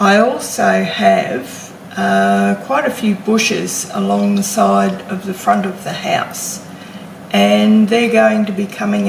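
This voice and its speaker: Through audible room echo and noticeable background noise, a woman with an Australian accent speaks very slowly. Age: 60s. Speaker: homesteading vlogger. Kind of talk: casual vlog talk to camera. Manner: hesitant with fillers.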